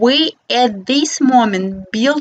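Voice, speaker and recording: A woman speaks with a non-native accent and lively intonation at a high pitch. The sound is dry and close, with no echo. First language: not English. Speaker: architect and philosopher. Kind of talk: reading aloud. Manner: reading from paper.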